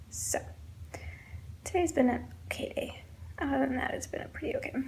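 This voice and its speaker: A soft-spoken voice comes through with audible room echo. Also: woman. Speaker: vlogger. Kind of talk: casual vlog monologue. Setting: indoors at home.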